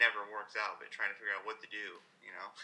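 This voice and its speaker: At a moderate pace, a man speaks with a bright, sharp tone. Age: 20s. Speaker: CrossFit athlete. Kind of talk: interview.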